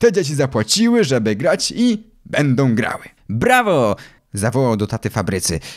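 The recording is very clean, with a silent background. A man at medium pitch and moderate pace swings his pitch very widely. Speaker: audiobook narrator. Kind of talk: audiobook reading of a children's story, narrated in first person as a boy.

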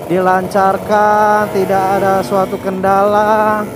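The speech moves at a very slow pace. The sound is dry with no echo, though background noise is noticeable. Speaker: motovlogger. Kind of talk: casual vlog chat. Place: motorbike.

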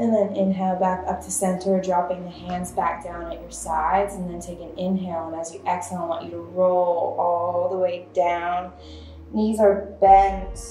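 A woman speaks in a flat, monotone way. Her voice carries some room echo over light background noise. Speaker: yoga instructor. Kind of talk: guided yoga instruction. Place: empty room. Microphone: camera far.

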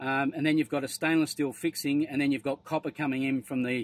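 Here a man talks at a fairly quick pace. His medium-pitched voice keeps a fairly even intonation.

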